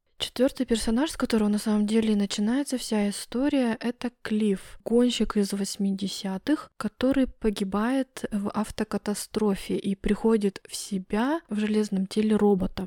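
On a very clean recording with a silent background, a woman speaks at a fairly high pitch in a dark, mellow tone. Her pace is fairly slow and her intonation fairly even, with a dry, close sound and no echo. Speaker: podcast host. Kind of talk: solo review monologue. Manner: monotone.

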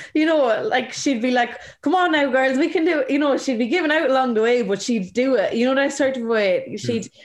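Keeping her loudness very even, a woman with a high voice speaks at a fairly quick pace with lively intonation. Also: hardly any pauses. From Ireland, County Carlow. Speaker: camogie player. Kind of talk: interview.

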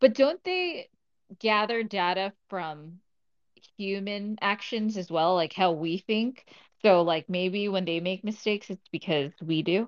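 At a fairly slow pace, a woman talks in an ordinary speaking voice with a medium pitch and ordinary pitch variation. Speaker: co-host leading discussion. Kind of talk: casual discussion. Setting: Twitter Spaces live audio room.

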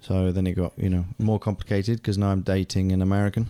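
With a British accent, a man speaks at a very fast pace in a dark, mellow tone at a fairly low pitch, his intonation monotone and flat, on a very clean recording with a silent background. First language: German. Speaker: voice actor and stage actor. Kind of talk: casual chat.

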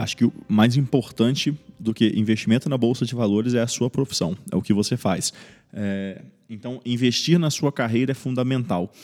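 This very clean recording has a silent background. A man talks at a moderate pace and medium pitch with ordinary pitch variation. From Brazil, Espírito Santo. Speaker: medical resident. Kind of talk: interview. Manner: hesitant, many fillers.

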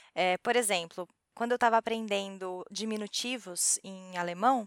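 An ordinary speaking voice from a woman, pitched fairly high, moving at a moderate speed. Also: dry, close sound with no echo. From Brazil. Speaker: podcast host. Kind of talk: casual chat.

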